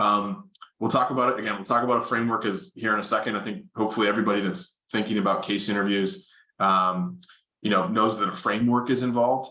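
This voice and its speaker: A loud man's voice, medium in pitch and bright and sharp in tone, at a very fast pace with ordinary pitch variation. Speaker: consulting interview coach. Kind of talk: workshop presentation.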